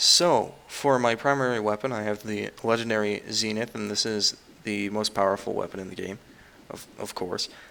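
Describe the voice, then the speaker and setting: Noticeable background noise accompanies fairly quick speech with ordinary pitch variation. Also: man. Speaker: gaming youtuber. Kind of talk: gameplay commentary. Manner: fast.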